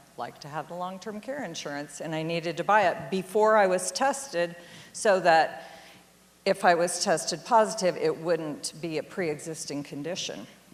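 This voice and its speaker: In a normal speaking voice, the speaker talks at a moderate pace with lively intonation. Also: woman. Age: 60s. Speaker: storyteller. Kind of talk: storytelling talk.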